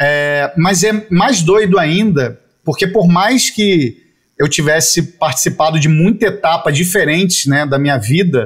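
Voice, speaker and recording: Speaking at a fairly slow pace, a man with a high pitch keeps his loudness very even while his intonation stays lively. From Rio de Janeiro, Brazil (Jacarepaguá). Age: 40s. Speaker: advertising creative director. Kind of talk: casual interview.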